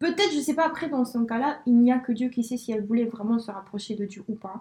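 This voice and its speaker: Her intonation lively, a woman talks at a moderate pace in a high pitch. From Spain. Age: 20s. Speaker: friend of host. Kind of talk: casual chat.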